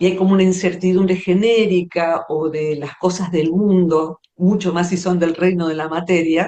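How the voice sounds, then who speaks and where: A woman speaks at a moderate pace with hardly any pauses, her fairly low voice dark and mellow in tone and her intonation flat and monotone. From Argentina, Buenos Aires area. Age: 60s. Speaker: psychologist and poet. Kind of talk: interview conversation.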